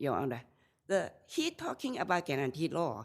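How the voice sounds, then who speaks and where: Very clean audio and a silent backdrop behind a woman's very deep, low voice. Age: 70s. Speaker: self-represented appellant. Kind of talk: appellate court argument. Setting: courtroom. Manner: slow.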